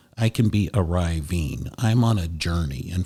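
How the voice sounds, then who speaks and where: Lively intonation from a man with a very deep, low pitch and a somewhat breathy voice. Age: 60s. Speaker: hospital chaplain trainee, former long-time professional. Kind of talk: podcast interview.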